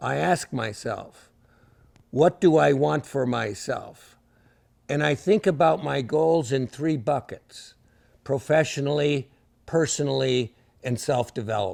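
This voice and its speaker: A man's fairly slow speech with vocal fry and very wide pitch swings, on a very clean recording with a silent background. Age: 70s. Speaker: leadership speaker. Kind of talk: lecture.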